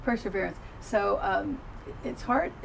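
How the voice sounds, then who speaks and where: Both audible room echo and noticeable background noise come through in this clip. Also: woman. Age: 70s. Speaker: psychotherapist. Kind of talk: casual chat.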